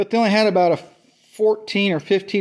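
A man speaks against a quiet background. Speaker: tractor owner. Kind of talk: casual product show-and-tell. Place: workshop. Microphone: phone near.

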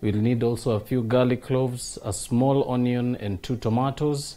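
A man speaks at a moderate pace with fairly even intonation. His tone is dark and mellow. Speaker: TV cooking show host. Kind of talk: tutorial. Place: studio.

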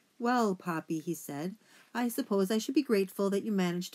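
The speaker reads aloud naturally, and the pitch shifts by an ordinary amount.

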